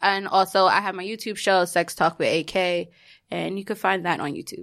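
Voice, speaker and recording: A woman's medium-pitched voice, bright and sharp in tone, with a New York accent, on a very clean recording over a silent background. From New York City (Queens). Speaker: podcast guest in a throuple. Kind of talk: casual chat.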